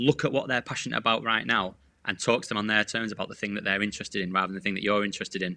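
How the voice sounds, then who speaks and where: Against a quiet background, a man speaks very fast at a fairly low pitch with a bright, sharp tone. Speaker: sales coach. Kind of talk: podcast interview. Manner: animated.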